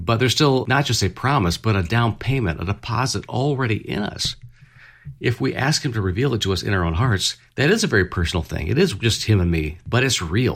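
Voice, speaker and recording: A man's somewhat breathy, medium-pitched voice at a fairly quick pace. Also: lively intonation, very clean recording, silent background. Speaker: radio host. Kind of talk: devotional Bible study discussion. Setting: studio.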